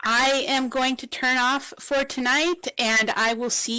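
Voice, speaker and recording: Speaking very slowly, a woman projects a raised, high-pitched voice with a bright, sharp tone. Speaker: auctioneer. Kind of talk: live event hosting.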